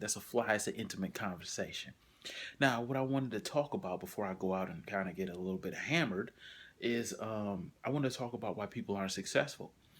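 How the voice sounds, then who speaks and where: The soft-spoken voice moves at a very fast pace with lively intonation, in a very clean recording with a silent background. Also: man, medium pitch for a man. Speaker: motivational vlogger. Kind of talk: motivational monologue. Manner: casual, with fillers.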